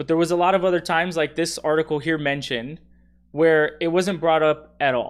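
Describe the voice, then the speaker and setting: In a normal speaking voice with an American accent, someone talks at a fairly quick pace with fairly even intonation on a very clean recording with a silent background. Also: man, fairly high pitch for a man. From Texas. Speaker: political commentator. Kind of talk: casual commentary.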